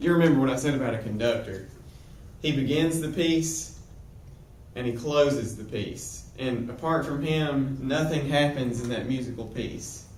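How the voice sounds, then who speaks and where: Audible room echo follows a man who speaks at a moderate pace and medium pitch with ordinary pitch variation. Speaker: Bible teacher. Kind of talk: lecture. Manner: halting.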